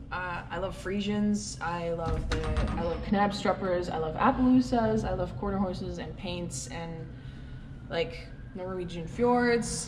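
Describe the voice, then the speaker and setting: A woman with a Canadian accent speaks at a fairly slow pace, with audible room echo and noticeable background noise. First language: Dutch. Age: 20s. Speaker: dairy farmer. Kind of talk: Q&A vlog, casual answers.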